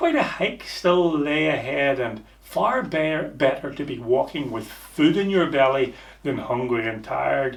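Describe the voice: A man of medium pitch talks at a fairly slow pace with vocal fry and lively intonation, and audible room echo surrounds him.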